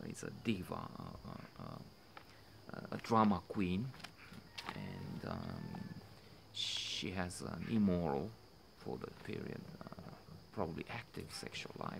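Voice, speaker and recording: Over noticeable background noise, a man with a very deep, low pitch speaks with big swings in loudness and long, frequent pauses. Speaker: film commentator. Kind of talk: commentary. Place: garden. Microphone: phone near.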